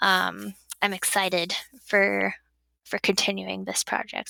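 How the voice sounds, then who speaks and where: With a slight Wisconsin accent, the voice comes through a very clean recording with a silent background and a dry, close sound with no echo. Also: woman. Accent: slight Wisconsin accent picked up. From southern Illinois. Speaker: fisheries biologist. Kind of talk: podcast interview.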